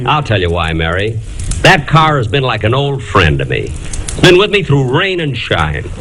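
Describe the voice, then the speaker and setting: A man's medium-pitched voice with very wide pitch swings, at a moderate pace amid noticeable background noise. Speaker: radio comedian and show host. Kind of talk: old-time radio comedy sketch. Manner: dry, exasperated comic delivery.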